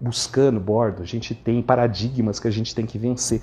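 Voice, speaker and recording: A man speaks at medium pitch and a moderate pace. His tone is dark, mellow and somewhat breathy. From interior of Brazil. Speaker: dental surgeon. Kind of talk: lecture.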